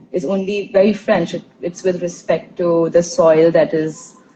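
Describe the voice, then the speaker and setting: Her voice has a dark, mellow tone and is somewhat breathy as the woman speaks. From India, Tulu-speaking Karnataka. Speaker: intercultural trainer, podcast host. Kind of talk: casual interview conversation. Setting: live stream.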